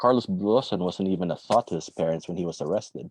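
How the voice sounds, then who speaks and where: With a quiet background, a man speaks at a very fast pace in a dark, mellow tone, his very deep, low pitch showing ordinary variation. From Philippines, then Jakarta from age 12. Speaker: author. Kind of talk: reading aloud. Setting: online livestream. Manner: halting with many fillers when speaking freely.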